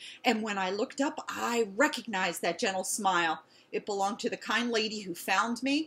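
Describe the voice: What's heard here is plain reading aloud.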